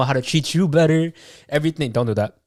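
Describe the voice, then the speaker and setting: A man speaks. His pace is very fast. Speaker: podcast co-host. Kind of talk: casual chat. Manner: animated.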